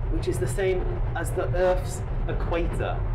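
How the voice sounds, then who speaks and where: A man talks at a moderate pace while music sounds in the background. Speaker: travel vlogger. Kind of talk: casual vlog chat. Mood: enthusiastic, impressed. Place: train. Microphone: phone near.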